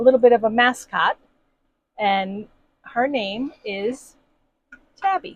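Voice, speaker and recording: A woman's fairly high voice at a fairly slow pace. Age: 60s. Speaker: camping vlogger. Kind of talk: casual video introduction. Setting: inside a camper.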